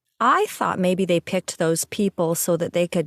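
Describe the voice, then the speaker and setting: Recorded very cleanly with a silent background and a dry, close sound with no echo, a woman with a fairly low pitch and an unremarkable speaking voice talks at a moderate pace. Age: 60s. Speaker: podcast host. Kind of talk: interview.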